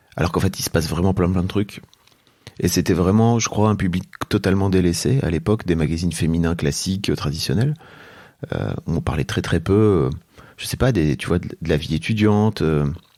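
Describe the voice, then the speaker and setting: A man with a very deep, low pitch and a dark, mellow tone talks at a fairly quick pace with ordinary pitch variation on a very clean recording with a silent background. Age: 40s. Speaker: entrepreneur and podcaster. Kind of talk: interview conversation. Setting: at his home. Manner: hesitant, many fillers.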